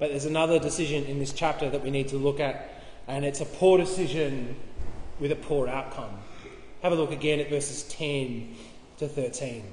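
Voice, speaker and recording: A man with an Australian accent speaks at a fairly high pitch and a moderate pace with fairly even intonation. Light background noise and audible room echo are present. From Tasmania, Australia (Launceston); Tasmania, Australia. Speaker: pastor. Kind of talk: sermon. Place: hall. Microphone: camera far.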